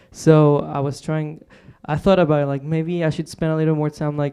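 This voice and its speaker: This man speaks with a Spanish accent at a fairly quick pace. His tone is dark and mellow. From Mexico, Monterrey. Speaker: singer-songwriter. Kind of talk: radio interview. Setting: radio studio, live broadcast. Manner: hesitant, many fillers.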